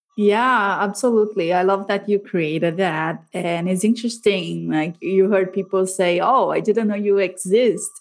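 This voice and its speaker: A woman with a Latin American accent talks at a moderate pace and medium pitch. Her intonation is fairly even, and she leaves hardly any pauses. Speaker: podcast host. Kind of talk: interview.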